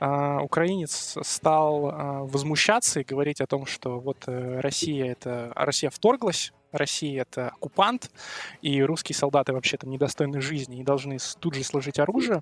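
A man with an ordinary speaking voice talks at a moderate pace and fairly high pitch. His pitch varies in an ordinary way, in a dry, close sound with no echo. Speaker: university student. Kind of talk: casual chat.

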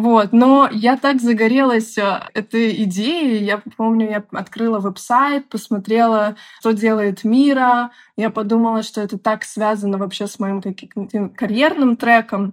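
A woman speaks with a plain, everyday voice at a fairly slow pace. Her intonation is fairly even, and the recording is very clean with a silent background. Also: fairly high pitch for a woman. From Belarus, Minsk. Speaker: product manager. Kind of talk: interview.

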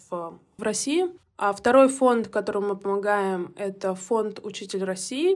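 A woman's unremarkable speaking voice, fairly high-pitched, with ordinary pitch variation at a moderate pace, on a very clean recording with a silent background. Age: 30s. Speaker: digital marketer and volunteer. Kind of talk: recorded voice message testimony.

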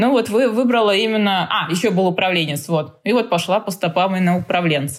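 A woman with an unremarkable speaking voice, medium in pitch and with ordinary pitch variation, comes through on a very clean recording with a silent background. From Tajikistan (Dushanbe), moved to Samara as a child. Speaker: fitness trainer. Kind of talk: casual interview chat.

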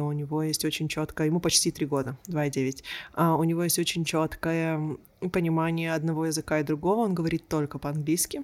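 At a moderate pace, a woman speaks with a very deep, low pitch and monotone, flat intonation on a very clean recording with a silent background. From Israel. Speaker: coach and researcher. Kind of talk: interview conversation.

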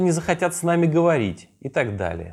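On a very clean recording with a silent background, a man with a fairly high pitch talks at a moderate pace, his pitch swinging very widely. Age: 30s. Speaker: podcast host. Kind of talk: solo podcast monologue.

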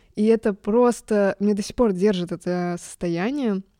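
A shaky voice with a dark, mellow tone moves at a very slow pace with ordinary pitch variation, the sound dry and close with no echo. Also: woman. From Germany. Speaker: music podcast host. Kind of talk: casual monologue. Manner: emotional, trembling voice.

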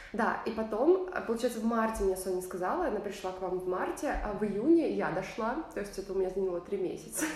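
A woman of medium pitch talks at a very fast pace with hardly any pauses and ordinary pitch variation. Noticeable background noise and audible room echo fill the recording. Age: 20s. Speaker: choir singer and podcast co-host. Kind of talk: casual chat.

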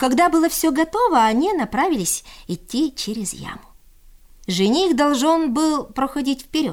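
Speaking at a moderate pace, a woman uses a high pitch and lively intonation.

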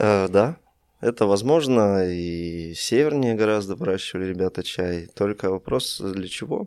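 A man talks in an unremarkable speaking voice, pitched fairly low. His intonation is lively, and his pace is fairly slow. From Russia. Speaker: tea shop founder. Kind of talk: casual interview.

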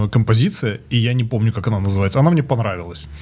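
A man at a very fast pace, somewhat breathy, with ordinary pitch variation. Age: 40s. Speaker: corporate manager, former musician. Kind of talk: casual chat. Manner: halting.

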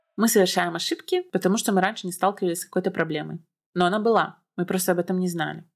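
A woman's medium-pitched voice, very fast and monotone, with flat intonation. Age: 20s. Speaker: podcast host. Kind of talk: solo podcast monologue. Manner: casual.

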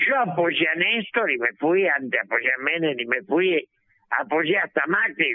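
Fairly high for a man, this male voice swings very widely in pitch while keeping its loudness very even. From Argentina. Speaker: political analyst, former legislator. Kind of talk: radio interview.

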